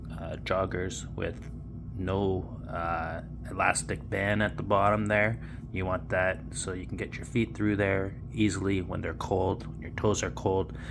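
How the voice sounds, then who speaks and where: Speaking in a Canadian accent, a man with a very deep, low pitch and vocal fry uses lively intonation at a fairly slow pace amid audible room echo. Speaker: cold water plunging vlogger. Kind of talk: casual tutorial. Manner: casual with frequent fillers.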